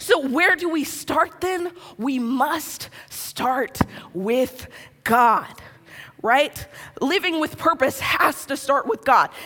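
Over noticeable background noise, a high-pitched woman projects her raised voice with lively intonation at a very slow pace. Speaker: pastor. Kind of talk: sermon. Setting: church with live audience.

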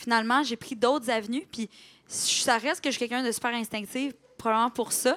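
A woman with a Quebec accent, high-pitched and fairly quick, with fairly even intonation and a dry, close sound with no echo. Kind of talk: casual chat. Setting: stage with audience.

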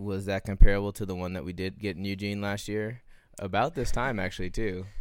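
Here a man uses a normal speaking voice at a fairly low pitch and fairly quick pace. The recording is very clean with a silent background. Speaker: podcast host. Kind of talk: casual chat.

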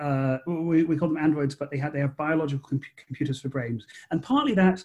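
A man speaks at a moderate pace with a fairly high pitch, fairly even intonation, and a dark, mellow tone that is somewhat breathy. The recording is very clean, with a silent background. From Scotland, Edinburgh. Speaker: author and screenwriter. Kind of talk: interview. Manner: halting, repeats words.

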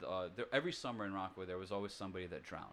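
This is a man speaking. He has an American accent. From New York City. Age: 30s. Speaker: singer-songwriter. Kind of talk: casual chat.

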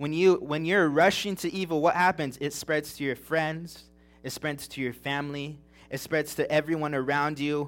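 The recording is very clean, with a silent background. A man with an American accent speaks at a fairly high pitch with fairly even intonation. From California, Big Bear Mountains. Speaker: preacher. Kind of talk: sermon. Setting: church service.

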